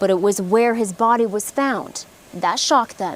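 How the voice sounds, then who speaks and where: There is noticeable background noise as a woman speaks. She keeps a moderate pace at a fairly high pitch. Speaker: TV news reporter. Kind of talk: TV news reporting, stand-ups and packages.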